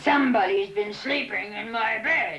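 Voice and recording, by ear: A woman puts on a gruff character voice. Her pitch sits fairly high.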